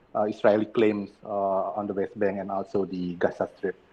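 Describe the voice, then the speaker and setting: The speaker is a man. He talks with an Indonesian accent. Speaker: professor. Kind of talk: lecture. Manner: halting.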